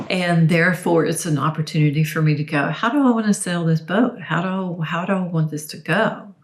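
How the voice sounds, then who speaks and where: Over noticeable background noise, the speech moves at a fairly quick pace with hardly any pauses and ordinary pitch variation. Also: woman, fairly low pitch for a woman. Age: 60s. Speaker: dietitian and body image coach. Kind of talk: podcast interview.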